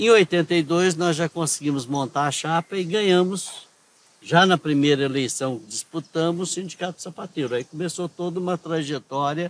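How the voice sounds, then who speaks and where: A man with an ordinary speaking voice and a fairly high pitch talks at a moderate pace, the sound dry and close with no echo. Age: 60s. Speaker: former union leader and activist. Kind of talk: interview. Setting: outdoors in a town square.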